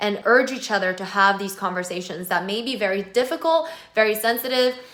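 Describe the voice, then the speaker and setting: Noticeable background noise runs behind the voice. The pace is moderate, and the pitch varies in an ordinary way. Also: woman. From South Korea, then US from age nine. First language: Korean. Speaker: pop singer and vlogger. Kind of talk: personal video monologue. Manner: earnest, emphatic with fillers.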